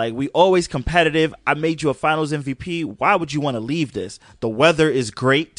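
Speaking at a fairly quick pace with hardly any pauses, a man with a fairly high voice sounds animated and shows ordinary pitch variation. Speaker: podcast host. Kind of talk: casual banter between friends, mock-serious sports debate. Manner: animated, jokey, quick to interrupt and riff.

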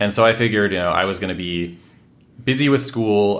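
At a fairly quick pace, a man speaks in an unremarkable speaking voice with a fairly low pitch and an American accent. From Washington State, US. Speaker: housing policy expert and author. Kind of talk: interview conversation.

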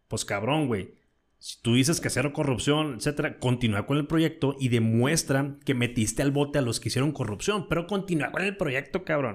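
A man with a Mexican accent talks in a fairly high pitch. His intonation is lively. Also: moderate pace. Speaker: podcast host. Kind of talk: casual chat.

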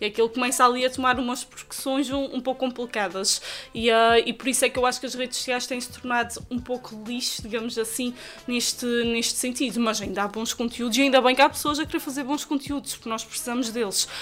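At a very fast pace, a woman with a high pitch talks with fairly even intonation. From Azores, Terceira island. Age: 20s. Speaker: journalist and TV presenter. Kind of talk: casual interview. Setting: recorded in a shop.

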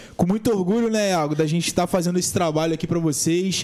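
A man's high-pitched, very fast speech with fairly even intonation. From Brazil, São Gonçalo (Rio de Janeiro state). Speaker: podcast host. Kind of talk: casual chat.

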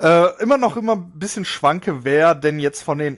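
A man's unremarkable speaking voice, fairly high in pitch, over a quiet background. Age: 30s. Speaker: podcast host, gaming youtuber. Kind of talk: casual monologue.

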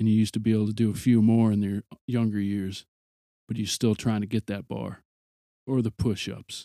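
Fairly low, dark, mellow male voice, monotone and flat, at a fairly quick pace yet with long, frequent pauses, in a dry, close sound with no echo. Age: 40s. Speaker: podcast host. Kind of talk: casual monologue.

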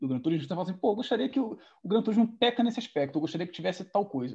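In a quiet background, a man with a high pitch and a dark, mellow tone talks at a very fast pace with very wide pitch swings. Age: 20s. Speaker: podcast host, sim racer. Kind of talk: casual interview. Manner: halting, many fillers.

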